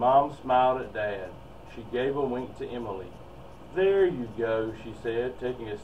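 The voice is an unforced reading voice. Its intonation is lively.

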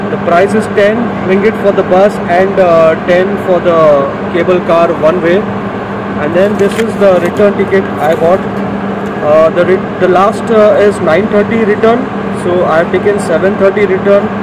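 A man talks with long, frequent pauses. Loud noise fills the background. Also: moderate pace. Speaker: travel vlogger. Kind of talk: casual vlog chat. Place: station. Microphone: phone near.

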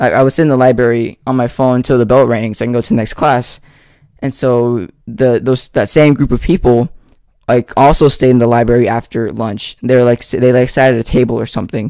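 The man's tone is dark and mellow, his pace fairly quick. The sound is dry with no echo, and the background is quiet. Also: medium pitch for a man, fairly even intonation. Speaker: ASMR youtuber. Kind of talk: casual chat to camera. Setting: home recording with microphone. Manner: halting. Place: home room. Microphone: studio mic.

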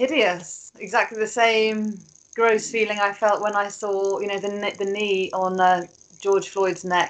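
A woman's speech unfolds fairly slowly, her pitch medium. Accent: British. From England. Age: 40s. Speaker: PR strategist; guest. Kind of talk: panel discussion. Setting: video call. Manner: animated. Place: home room. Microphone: video call.

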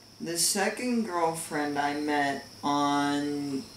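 A man speaks at a very slow pace, with audible room echo and light background noise. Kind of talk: deadpan comedic monologue. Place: home room. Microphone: camera far.

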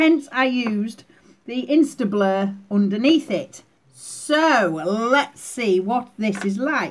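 Speaking very slowly, a woman talks with a British accent. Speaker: beauty vlogger. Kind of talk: makeup tutorial. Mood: cheerful, playful. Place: home room. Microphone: webcam.

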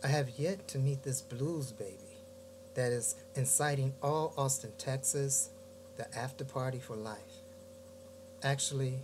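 A fairly slow, somewhat breathy delivery with an American accent, ordinary pitch variation, long, frequent pauses, and noticeable background noise. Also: man. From US Midwest, Gary, Indiana; Indiana. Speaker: poet. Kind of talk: poetry reading. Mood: reflective, warm. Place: home room. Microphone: webcam.

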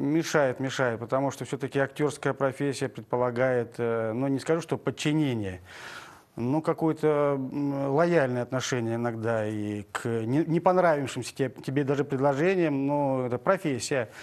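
A man's voice moves at a moderate pace. His pitch varies in an ordinary way. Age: 50s. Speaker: actor. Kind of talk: TV interview. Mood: relaxed, friendly. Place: studio. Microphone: lapel.

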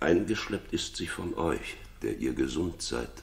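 A man puts on a character voice with extremely low pitch and vocal fry. He moves at a fairly slow pace through big pitch swings.

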